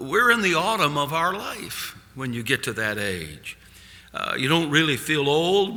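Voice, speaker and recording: A fairly high-pitched man at a fairly slow pace, pitch swinging very widely, with audible room echo and noticeable background noise. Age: 70s. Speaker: evangelist. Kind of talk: sermon. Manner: halting.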